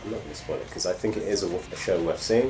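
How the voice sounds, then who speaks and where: Through noticeable background noise and audible room echo, a man with a British accent talks at a very fast pace. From Britain. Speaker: gaming channel host. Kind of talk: live gameplay commentary. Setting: home live broadcast. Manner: hesitant, many fillers.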